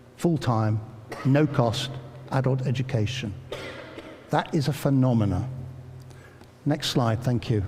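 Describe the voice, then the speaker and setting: A man with an English Midlands accent, fairly slow and very even in loudness, with long, frequent pauses, audible room echo and noticeable background noise. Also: medium pitch for a man, ordinary pitch variation. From England, Northamptonshire. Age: 60s. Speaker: educator and former army officer. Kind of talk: public talk. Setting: church with audience.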